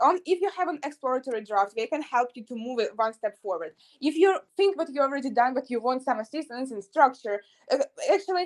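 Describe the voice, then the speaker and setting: Speaking at a fairly quick pace, a woman with a Russian accent uses a high pitch that swings very widely. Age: young, about 18 to 19. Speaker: university student. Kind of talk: interview. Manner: halting, frequent hesitations.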